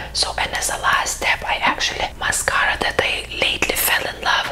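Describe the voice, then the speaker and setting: The speaker whispers, keeping a moderate pace. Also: woman. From Lithuania. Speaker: skincare creator. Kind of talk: ASMR skincare talk to camera. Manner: soft-spoken. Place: home room. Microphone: lapel.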